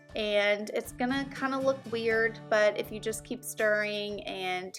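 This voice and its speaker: A woman's medium-pitched voice with an American accent, ordinary pitch variation and a fairly slow pace, music playing in the background. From Texas. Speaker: home cook, culinary school graduate. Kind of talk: cooking tutorial talk to camera. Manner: casual, friendly.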